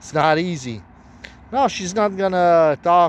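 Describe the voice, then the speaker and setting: The speaker talks at a fairly slow pace. There is a non-native accent. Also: man. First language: not English. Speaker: self-proclaimed prophet. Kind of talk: religious monologue. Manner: halting.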